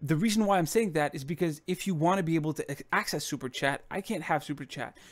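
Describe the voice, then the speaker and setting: A French accent with ordinary pitch variation. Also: man. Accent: non-native English speaker, French. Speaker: YouTuber. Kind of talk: live stream Q&A. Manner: casual, with self-corrections and stumbles.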